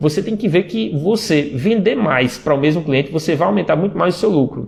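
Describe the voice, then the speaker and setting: Lively intonation runs through this man's high-pitched speech. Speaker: sales and WhatsApp marketing trainer. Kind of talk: live stream talk. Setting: Instagram live stream. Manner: fast; many fillers and repetitions.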